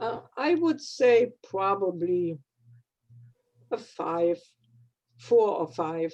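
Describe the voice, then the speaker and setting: A woman's medium-pitched voice with a German accent, very slow with long, frequent pauses and very wide pitch swings. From Germany. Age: 80s+. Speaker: retired dietitian, club member. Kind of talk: personal life story in a club meeting. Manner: halting.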